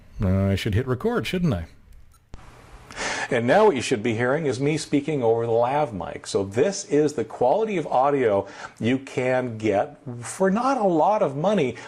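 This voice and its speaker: A man's voice moves through very wide pitch swings with noticeable background noise behind it. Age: 50s. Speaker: tech video creator. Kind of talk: casual tutorial. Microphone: switches between voice recorder, studio mic and lavalier mic.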